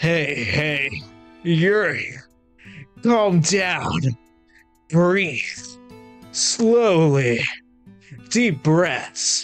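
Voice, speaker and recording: A put-on character voice at a middle pitch moves at a very slow pace with long, frequent pauses. Faint music plays in the background. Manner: soothing, calm.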